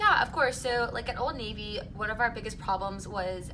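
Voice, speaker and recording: A woman speaks in a fairly high pitch with ordinary pitch variation. Audible room echo and noticeable background noise fill the recording. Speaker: job interview candidate (role-play). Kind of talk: mock job interview. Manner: loud, outgoing.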